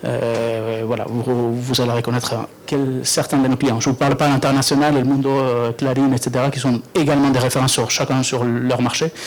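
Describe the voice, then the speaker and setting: Through noticeable background noise, a man with medium pitch talks at a fairly quick pace with fairly even intonation. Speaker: software company representative. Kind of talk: product presentation. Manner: halting, many fillers.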